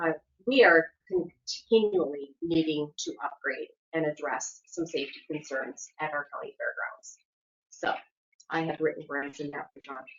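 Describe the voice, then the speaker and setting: A woman speaks at a moderate pace with big swings in loudness. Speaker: community program presenter. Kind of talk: report at public meeting. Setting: county commission meeting.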